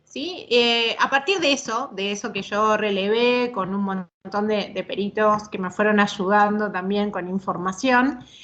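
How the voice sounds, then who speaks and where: A woman speaks with a fairly high pitch and ordinary pitch variation. She leaves hardly any pauses. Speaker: psychologist and court expert lecturing. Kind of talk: online lecture. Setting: video call. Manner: fast when she gets going; hesitant fillers and repetitions.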